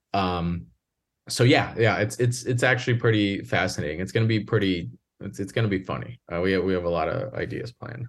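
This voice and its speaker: A man with vocal fry speaks at a fairly quick pace in a fairly low pitch. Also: quiet background. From Northwest Indiana, near Chicago; Puerto Rican family. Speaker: filmmaker and coach. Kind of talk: casual interview. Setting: video call.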